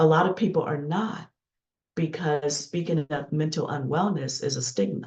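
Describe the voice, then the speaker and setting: A woman speaks at a very deep, low pitch, sounding somewhat breathy. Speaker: leadership coach and keynote speaker. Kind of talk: interview conversation.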